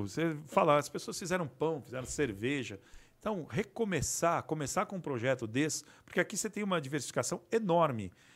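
On a very clean recording with a silent background, a normal speaking voice is heard. It moves at a moderate pace with lively intonation. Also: man. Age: 50s. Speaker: resin artisan and manufacturer. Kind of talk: casual interview.

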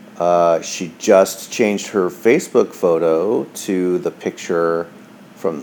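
Over noticeable background noise, a man speaks with a very deep, low pitch and fairly even intonation. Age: 40s. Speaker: podcaster sharing divorce diary. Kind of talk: personal diary monologue. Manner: hesitant with many fillers.

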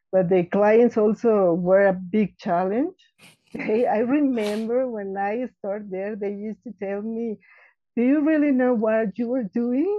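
This woman speaks fairly slowly with a Mexican accent. Her pitch is fairly high, with ordinary variation. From Mexico City. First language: Spanish. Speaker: florist and business owner. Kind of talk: interview. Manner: halting.

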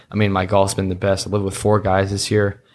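On a very clean recording with a silent background, a man talks very fast in a fairly low, monotone, flat voice. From US West, Reno, Nevada and San Diego. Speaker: college golfer. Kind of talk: casual chat. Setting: indoor golf facility at a tournament.

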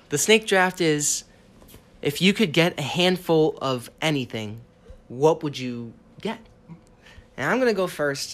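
Lively in intonation but fairly slow, a man with an American accent speaks at a fairly high pitch, leaving long, frequent pauses. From Boston area, US. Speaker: podcast host. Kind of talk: casual chat.

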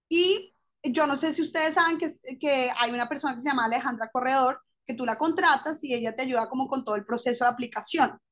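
A woman's high-pitched voice, bright and sharp in tone, at a fairly quick pace with ordinary pitch variation. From Colombia. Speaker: lawyer turned fashion designer. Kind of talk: interview.

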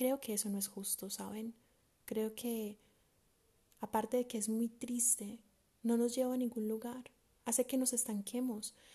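A woman with a fairly high pitch speaks in a dark, mellow tone at a fairly slow pace. Her intonation is monotone and flat, with long, frequent pauses. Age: 20s. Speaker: podcast host. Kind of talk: solo monologue podcast.

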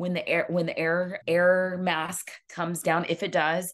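An ordinary speaking voice with fairly even intonation is heard over a quiet background. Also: woman. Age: 40s. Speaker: health and wellness coach. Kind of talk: casual chat.

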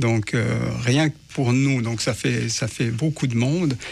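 The man's voice carries a slight breathiness. He keeps an unhurried, moderate tempo. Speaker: housing search support worker. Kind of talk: radio interview. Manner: hesitant, many fillers.

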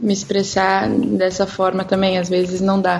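A woman with a medium-pitched voice speaks over noticeable background noise. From southern Brazil (Rio Grande do Sul). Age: 20s. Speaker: portrait photographer. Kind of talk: casual chat.

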